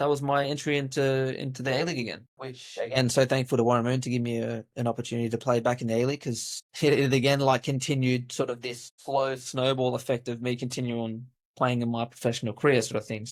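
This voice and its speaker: A man talks in an Australian accent at a very fast pace. His intonation stays fairly even. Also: medium pitch for a man. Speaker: football coach and former pro player. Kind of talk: interview storytelling. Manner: casual, with many fillers.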